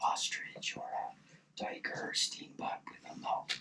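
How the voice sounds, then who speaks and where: A man whispering at a moderate pace. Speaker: hunting video creator. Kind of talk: scripted narration. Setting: outdoors in a hunting blind. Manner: soft-spoken.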